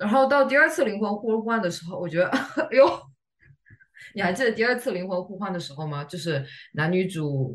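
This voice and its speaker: This woman speaks at a fairly quick pace, her pitch swinging very widely and her loudness rising and falling in big swings. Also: medium pitch for a woman. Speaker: podcast co-host. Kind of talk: casual chat.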